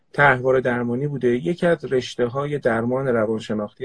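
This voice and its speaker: In a somewhat breathy voice, a man talks at a fairly quick pace. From Tehran, Iran. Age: 40s. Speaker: organizational psychoanalyst. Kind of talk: casual live chat.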